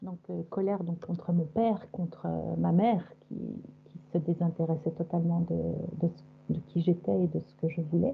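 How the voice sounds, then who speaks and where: This woman's voice sits fairly low and sounds somewhat breathy. She talks at a fairly slow pace with lively intonation. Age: 60s. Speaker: hypnosis session client. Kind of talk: personal testimony. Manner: halting.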